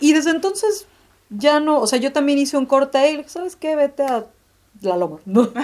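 A woman speaks at a fairly quick pace in a high pitch. Her pitch swings very widely. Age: 30s. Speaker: graphic designer. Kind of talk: casual chat.

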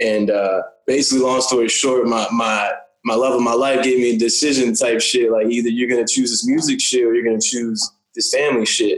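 At a fairly quick pace, a man with an American accent speaks in an ordinary speaking voice, with medium pitch, fairly even intonation and very even loudness. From rural southeastern Virginia (Windsor near Suffolk). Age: 20s. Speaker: rapper and bartender. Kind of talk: casual interview. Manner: laid-back, filler-heavy.

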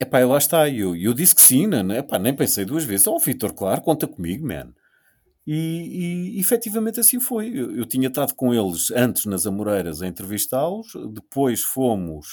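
The voice has a dark, mellow tone and a European Portuguese accent, moving at a moderate pace with very wide pitch swings. The recording is very clean, with a silent background. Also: man, medium pitch for a man. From Portugal. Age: 50s. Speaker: radio host. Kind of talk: casual chat. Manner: halting.

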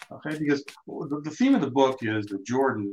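Straightforward reading aloud

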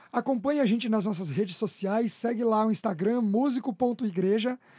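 On a very clean recording with a silent background and a dry, close sound with no echo, a man speaks at a high pitch and moderate pace, with ordinary pitch variation and a dark, mellow tone. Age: 20s. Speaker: church musician and podcast host. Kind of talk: casual chat. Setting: studio. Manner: stumbling.

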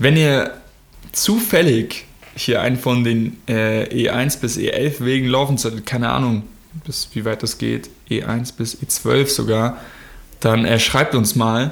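This man speaks very slowly with vocal fry, a medium pitch and ordinary pitch variation. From Germany. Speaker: podcast co-host. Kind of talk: casual chat.

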